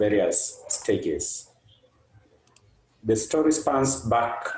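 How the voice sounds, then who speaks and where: A man with a Kenyan accent. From Kenya, Kakamega. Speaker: nonprofit programs manager. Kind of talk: presentation.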